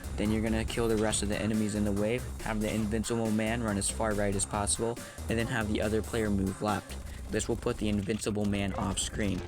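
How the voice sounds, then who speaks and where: A man whose pitch is fairly low talks at a fairly quick pace with ordinary pitch variation while music plays in the background. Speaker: video game tutorial narrator. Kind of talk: game tutorial narration.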